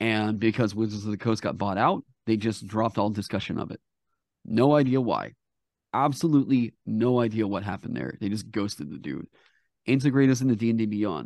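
Against a quiet background, a man with a normal speaking voice talks at a fairly quick pace and a fairly low pitch, with ordinary pitch variation. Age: 30s. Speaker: tabletop game designer and streamer. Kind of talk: casual interview.

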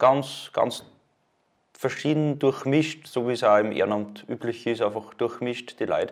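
In an ordinary speaking voice, a man talks at a fairly slow pace and a medium pitch with fairly even intonation. The recording is very clean with a silent background. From Upper Austria, Mühlviertel. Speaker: Red Cross volunteer and student. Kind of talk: casual interview.

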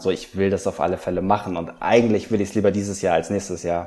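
With fairly even intonation, a man talks at a fairly low pitch in a dark, mellow tone. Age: 30s. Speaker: amateur runner. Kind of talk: interview. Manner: halting.

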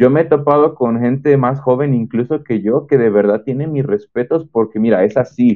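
At a moderate pace and with ordinary pitch variation, a man talks in an ordinary speaking voice. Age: 20s. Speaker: engineering student. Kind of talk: testimony.

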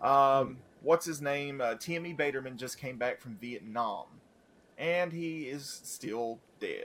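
A man with a normal speaking voice, ordinary pitch variation and a fairly slow pace. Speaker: podcast co-host. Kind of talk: casual banter.

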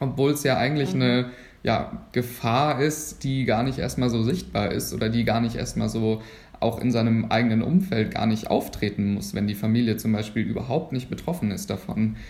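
There is audible room echo as a man speaks at a moderate pace, his medium pitch showing ordinary pitch variation. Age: 20s. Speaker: medical student. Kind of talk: podcast interview.

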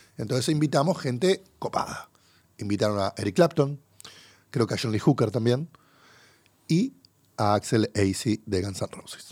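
A man with a Rioplatense accent speaks at a moderate pace and medium pitch with lively intonation and long, frequent pauses, the sound dry and close with no echo. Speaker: podcast host. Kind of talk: casual chat. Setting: studio.

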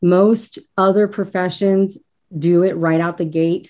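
Over a quiet background, a woman talks at a fairly slow pace in a dark, mellow tone with fairly even intonation. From Northern Kentucky. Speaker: school counselor and author. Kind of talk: interview. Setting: remote call from home.

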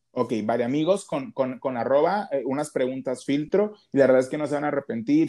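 A man with a dark, mellow tone and a fairly high pitch talks at a fairly quick pace with ordinary pitch variation against a quiet background. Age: 20s. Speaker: podcast host, bariatric patient. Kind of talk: casual interview. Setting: remote call.

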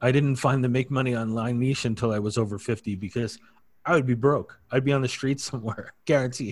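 In an unremarkable speaking voice, a man moves at a fairly quick pace, his pitch medium and his intonation fairly even. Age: 50s. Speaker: affiliate marketer. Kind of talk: casual chat.

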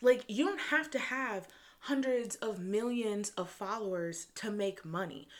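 With lively intonation, a woman delivers her words at a fairly slow pace. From US Midwest, Michigan suburbs. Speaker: podcast host, entrepreneur. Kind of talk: solo motivational monologue. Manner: casual, laughing often.

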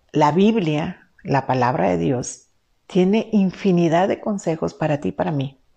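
Her voice is fairly low, with a dark, mellow tone and lively intonation. The woman speaks at a fairly slow pace. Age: 50s. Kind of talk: faith-based teaching talk. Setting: live stream.

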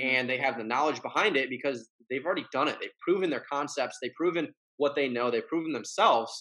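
A bright, sharp-toned voice talks very fast in an American accent, with ordinary pitch variation. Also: man, fairly high pitch for a man. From Michigan. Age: 20s. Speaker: fitness brand founder. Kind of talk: casual chat.

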